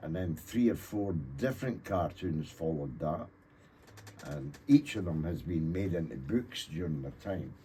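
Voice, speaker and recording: A man with a Scottish accent talks with a dark, mellow tone that is somewhat breathy. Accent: Scottish (Fife). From Scotland (Thornton, Fife). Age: 70s. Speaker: author and cartoonist. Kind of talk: radio interview. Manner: halting, many fillers.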